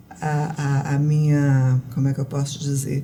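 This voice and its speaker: A dark, mellow tone comes through in a voice that is somewhat breathy. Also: woman. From Goiás, Brazil (born in Rio de Janeiro). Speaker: writer and poet. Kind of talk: interview. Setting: studio.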